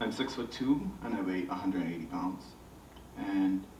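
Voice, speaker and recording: A man with a Bahamian accent at a moderate pace and with ordinary pitch variation, amid noticeable background noise and audible room echo. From Bahamas. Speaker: visual artist. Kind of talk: panel discussion.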